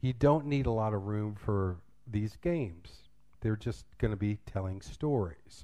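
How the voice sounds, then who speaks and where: Lively intonation from a man with a dark, mellow tone, delivered at a moderate pace. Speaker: English teacher and drama director. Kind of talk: conference workshop talk. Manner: loud; casual.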